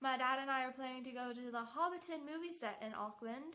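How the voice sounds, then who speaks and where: Over noticeable background noise, a woman speaks in a raised, projected voice. Her pitch is high, with ordinary variation. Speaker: travel vlogger. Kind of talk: casual vlog monologue. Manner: fast; animated.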